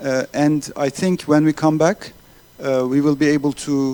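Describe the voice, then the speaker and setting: With a Turkish accent, a man talks at a fairly high pitch and ordinary pitch variation. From Turkey. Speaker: accelerator organizer. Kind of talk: closing speech. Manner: halting.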